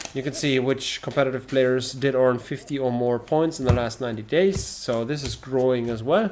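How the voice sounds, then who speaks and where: Over noticeable background noise, a man with a non-native accent speaks at medium pitch with ordinary pitch variation. He keeps a moderate pace with hardly any pauses. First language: not English. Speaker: trading card game streamer. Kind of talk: casual live stream chat. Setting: live stream. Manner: animated.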